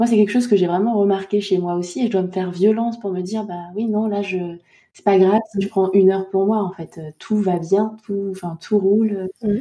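Somewhat breathy and dark, mellow in tone, a woman speaks fairly quickly with fairly even intonation and big swings in loudness. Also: medium pitch for a woman. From Côte d'Ivoire and Île-de-France. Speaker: podcast host. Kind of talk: interview conversation.

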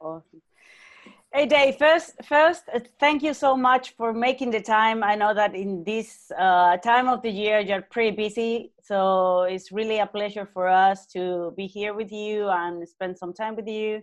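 Against a quiet background, a woman with a Spanish accent and a fairly high pitch speaks at a fairly slow pace. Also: ordinary pitch variation. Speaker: interview moderator. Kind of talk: introduction.

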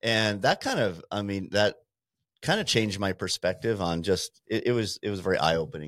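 An ordinary speaking voice from a man with an American accent, fairly low in pitch with ordinary pitch variation, at a fairly quick pace, on a very clean recording with a silent background and a dry, close sound with no echo. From Montana. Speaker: small business owner. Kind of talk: casual interview.

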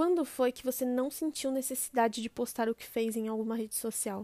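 A woman speaks at a high pitch and a moderate pace with a dark, mellow tone. The recording is very clean, with a silent background and a dry, close sound with no echo. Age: 20s. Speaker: podcast host. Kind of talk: scripted monologue.

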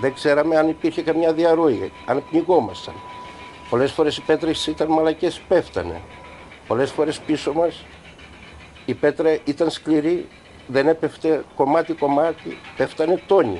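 Over noticeable background noise, a man with a fairly high pitch talks at a fairly slow pace, with fairly even intonation and very even loudness. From Greece, Samothrace. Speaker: former coal miner. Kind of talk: testimony.

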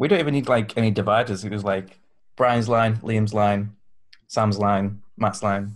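Speaking in a Yorkshire accent, a man with a fairly low pitch keeps a moderate pace and fairly even intonation. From Yorkshire, England. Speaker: podcast guest, fan convention attendee. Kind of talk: casual chat.

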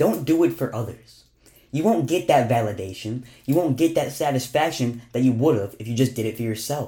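A man's somewhat breathy voice, dark and mellow in tone, at a medium pitch and fairly quick pace, with ordinary pitch variation, on a very clean recording with a silent background. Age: young. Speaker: podcast host. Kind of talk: motivational monologue.

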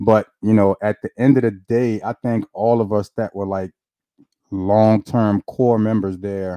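Dry and close with no echo, a man's dark, mellow voice comes at a fairly low pitch and a fairly slow pace, with fairly even intonation. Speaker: podcast host. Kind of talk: casual chat.

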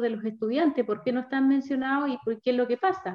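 Pitch varies in an ordinary way. The speech moves fairly quickly. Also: woman. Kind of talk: interview. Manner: hesitant, with many fillers.

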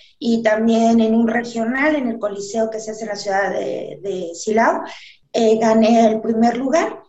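A fairly high-pitched woman talking at a fairly slow pace, ordinary pitch variation, and audible room echo. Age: 40s. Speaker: model and fitness competitor. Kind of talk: casual chat.

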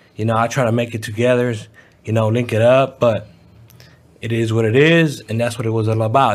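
The man talks at a fairly quick pace and a medium pitch. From San Francisco. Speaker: rapper. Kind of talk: casual chat.

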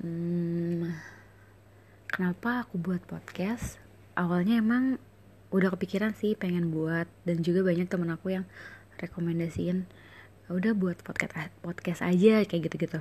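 A woman's somewhat breathy, fairly low voice with a dark, mellow tone, fairly even intonation and a moderate pace. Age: 20s. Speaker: swimming coach and podcaster. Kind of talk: casual monologue. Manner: hesitant, filler-heavy.

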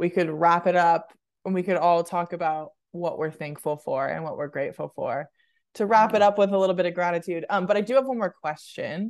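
Against a quiet background, a woman with an American accent and a normal speaking voice talks at a moderate pace with medium pitch and ordinary pitch variation. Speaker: podcast co-host. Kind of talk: casual chat.

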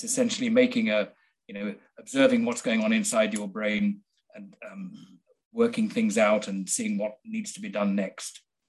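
A man with a Midlands accent and big swings in loudness. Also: moderate pace. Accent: English (Midlands), educated. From central England. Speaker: biochemist and author. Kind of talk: casual interview conversation.

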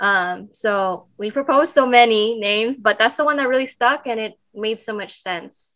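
With an unremarkable speaking voice, a woman talks at a moderate pace and a fairly high pitch, showing ordinary pitch variation, big swings in loudness and hardly any pauses against a quiet background. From Los Angeles County, California, Filipino parents. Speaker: podcast co-host, health program coordinator. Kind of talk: casual chat.

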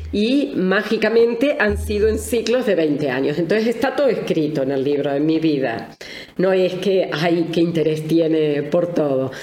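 Very wide pitch swings from a woman with a fairly low voice, fairly slow delivery and very even loudness, plus audible room echo and noticeable background noise. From Argentina. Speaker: family constellations therapist and author. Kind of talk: interview.

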